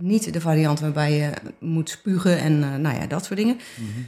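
This woman's voice sits fairly low in pitch, with a dark, mellow tone. Her pitch varies in an ordinary way. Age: 50s. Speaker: visual artist. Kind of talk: casual chat. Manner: halting.

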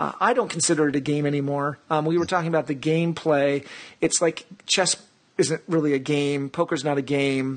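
A plain, everyday voice at a fairly quick pace, with fairly even intonation and very even loudness. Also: man, fairly high pitch for a man. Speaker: podcast host. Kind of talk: podcast interview.

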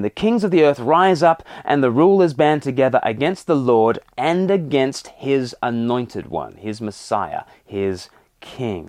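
A man speaks with a fairly high pitch and lively intonation. His pace is fairly slow, in an unremarkable speaking voice. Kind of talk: sermon.

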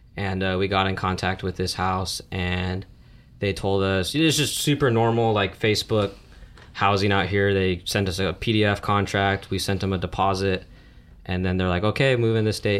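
Speaking at a moderate pace, a man uses an ordinary speaking voice with a fairly low pitch and fairly even intonation. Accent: American. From Las Vegas, US. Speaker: college student. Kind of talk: casual chat.

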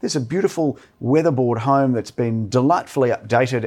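A man talks at a fairly quick pace and medium pitch with ordinary pitch variation, captured in a very clean recording with a silent background. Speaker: real estate agency director. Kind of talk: casual chat. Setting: studio. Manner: sounds like an auctioneer.

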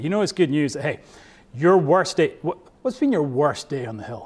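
This man has a fairly high pitch and a Scottish accent. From Scotland. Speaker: pastor. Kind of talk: sermon.

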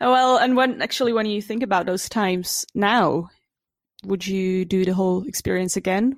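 Here a woman speaks in a Czech accent at a medium pitch. Her pitch varies in an ordinary way. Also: moderate pace. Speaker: podcast host. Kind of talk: interview, casual chat.

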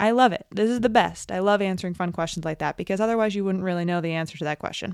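In a very clean recording with a silent background, a woman with an American accent talks in a dry, close sound with no echo. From New York. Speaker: podcast host, tech and business consultant, former physical therapist. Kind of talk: casual solo monologue. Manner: unscripted with fillers and stumbles.

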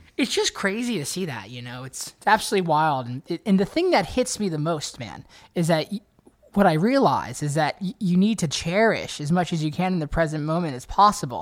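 The man's pitch is high. His intonation is lively. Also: fairly quick pace. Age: 20s. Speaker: country guitarist. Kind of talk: casual interview. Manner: animated.

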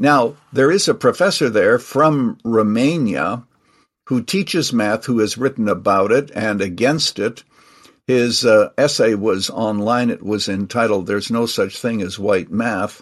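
A man at a medium pitch, an unremarkable speaking voice, fairly slow pace, ordinary pitch variation, quiet background. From Canada. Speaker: retired pastor and author. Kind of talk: interview.

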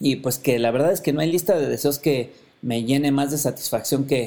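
Speaking with a Mexican accent, a man uses a fairly high pitch, a dark, mellow tone, ordinary pitch variation and a moderate pace. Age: 40s. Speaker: podcast host. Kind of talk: personal monologue.

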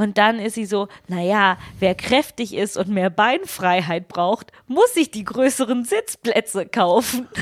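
With a non-native accent, a woman speaks at a very slow pace in a fairly high voice with ordinary pitch variation, the sound dry and close with no echo. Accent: foreign accent in German. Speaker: podcast co-host, media producer. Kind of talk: casual chat.

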